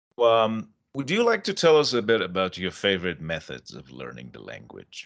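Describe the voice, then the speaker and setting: A moderate pace carries the speech over a quiet background. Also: man. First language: Persian. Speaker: English teacher and podcast host. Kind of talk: casual interview.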